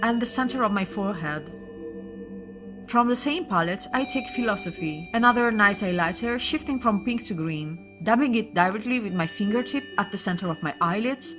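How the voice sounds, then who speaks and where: With music playing behind her, a woman speaks in a non-native accent and lively intonation. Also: medium pitch for a woman, moderate pace. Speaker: makeup artist. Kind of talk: makeup tutorial voiceover.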